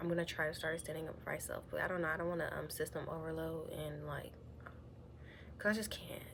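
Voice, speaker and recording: A woman talking at a very fast pace, with audible room echo. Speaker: vlogger sharing personal story. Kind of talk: confessional vlog monologue. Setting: at home. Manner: halting, hesitant with many fillers.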